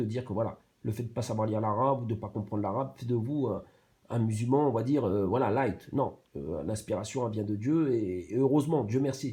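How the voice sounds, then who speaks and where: This man's voice is medium in pitch, somewhat breathy and dark and mellow in tone, with ordinary pitch variation. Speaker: YouTube commentator. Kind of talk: reaction commentary. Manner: fast; halting, many fillers and repetitions.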